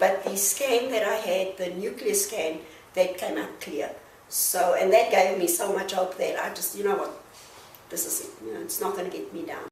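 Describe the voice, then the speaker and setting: A woman's voice at a moderate pace, with big swings in loudness and noticeable background noise. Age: 60s. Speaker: breast cancer survivor, semi-retired operations manager. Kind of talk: interview answer.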